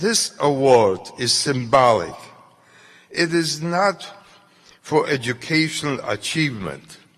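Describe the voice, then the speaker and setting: A man speaks very slowly, with long, frequent pauses and lively intonation. His fairly high voice comes over noticeable background noise. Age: 90s. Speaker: Holocaust survivor. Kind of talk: acceptance speech.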